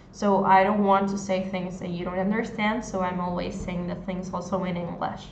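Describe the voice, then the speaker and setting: A woman's flat, monotone delivery at a fairly slow pace, with light background noise and audible room echo. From Argentina. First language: Spanish. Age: 20s. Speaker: Spanish tutor. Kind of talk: live online language lesson. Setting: livestream on social media. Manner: code-switching between Spanish and English. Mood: friendly, warm. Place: home room. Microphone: phone near.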